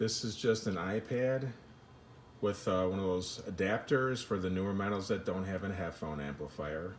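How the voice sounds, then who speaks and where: A man speaks with a very deep, low voice. Noticeable background noise and audible room echo surround him. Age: 60s. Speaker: home audio hobbyist demonstrating gear. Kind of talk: tutorial. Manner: halting, many fillers; casual.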